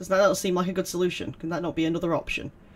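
A high-pitched man's voice with a British accent. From UK. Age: 30s. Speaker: gaming YouTuber. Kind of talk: let's play commentary. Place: home room.

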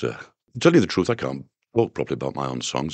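With a Yorkshire accent, a man speaks at a very deep, low pitch with vocal fry, the sound dry and without echo. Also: quiet background. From northern England. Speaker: singer-songwriter. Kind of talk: interview answer. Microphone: old recording.

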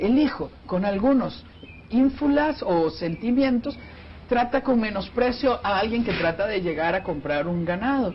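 Over light background noise, a man speaks at a high pitch. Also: fairly slow pace. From Costa Rica. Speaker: family counselor and speaker; speaker. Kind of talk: TV interview. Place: studio. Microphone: lapel.

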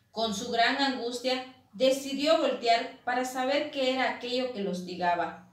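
High-pitched female speech in a room with audible echo. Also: ordinary pitch variation, fairly slow pace. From Quintana Roo, Mexico. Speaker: university student reading her own legend. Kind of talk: reading aloud a legend, ghost story telling. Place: home room. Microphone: camera far.

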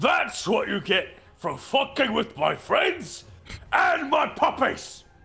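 A man's put-on character voice, extremely high in pitch and menacing in tone, at a fairly slow pace. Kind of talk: rowdy tabletop character voice. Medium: actual play. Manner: menacing toward enemies, crude and boisterous.

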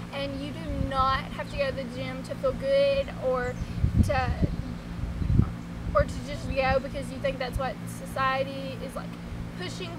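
Against music in the background, a woman speaks at a fairly slow pace with long, frequent pauses. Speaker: vlogger. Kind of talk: casual vlog chat. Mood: cheerful, encouraging. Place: garden.

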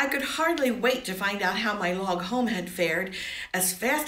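Lively intonation in an unforced reading voice

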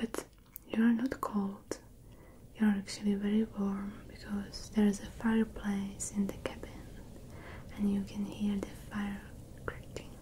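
Over light background noise, a woman speaks fairly slowly in a flat monotone, leaving long, frequent pauses. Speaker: ASMR creator. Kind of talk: soft-spoken ASMR roleplay. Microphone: studio mic.

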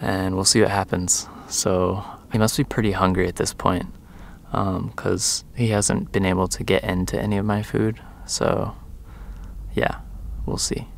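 Over light background noise, a man talks with vocal fry at a fairly low pitch and a fairly slow pace, keeping his intonation fairly even and leaving long, frequent pauses. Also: dry sound with no echo. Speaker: vehicle dweller vlogger. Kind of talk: casual vlog chat. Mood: amused, mildly exasperated. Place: open country. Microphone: phone near.

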